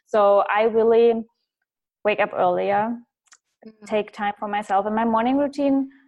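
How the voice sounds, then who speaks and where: With a German accent, a woman speaks at a fairly high pitch and moderate pace, using fairly even intonation, long, frequent pauses and big swings in loudness. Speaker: business and mindset coach. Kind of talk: interview.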